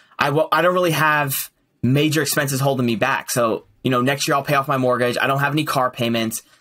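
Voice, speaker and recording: Fairly even in intonation, a man speaks with a bright, sharp tone. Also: quiet background. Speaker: podcast guest. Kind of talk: casual interview chat. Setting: call. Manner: hesitant, many fillers. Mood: relaxed, friendly. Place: home room. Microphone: earbuds.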